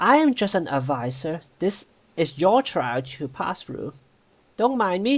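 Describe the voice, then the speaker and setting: In a put-on character voice at a middle pitch, the speaker goes at a fairly slow pace with very wide pitch swings. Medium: actual play. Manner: corporate, bureaucratic.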